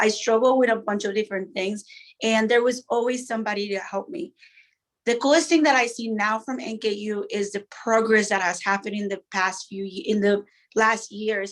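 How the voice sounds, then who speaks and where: Speaking at a moderate pace, a woman uses a fairly high pitch with ordinary variation. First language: not English. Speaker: university alumnus panelist. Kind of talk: panel discussion.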